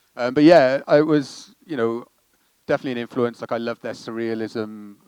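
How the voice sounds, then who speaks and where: Speaking at a fairly quick pace, a man with a Welsh accent uses a medium pitch and fairly even intonation. His loudness swings widely. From Wales. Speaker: comedy director and writer. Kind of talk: interview Q&A.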